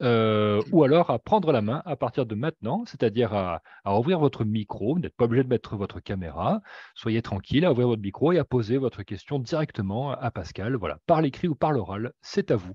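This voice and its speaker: A man speaks at a fairly quick pace, the sound dry with no echo. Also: lively intonation, quiet background. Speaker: webinar co-moderator. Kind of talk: moderated Q&A. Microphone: video call.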